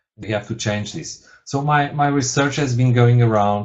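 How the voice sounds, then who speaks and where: Speaking fairly slowly, a man talks with a Portuguese accent. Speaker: university lecturer, researcher. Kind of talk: webinar presentation. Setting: webinar. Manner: halting, many fillers and repetitions.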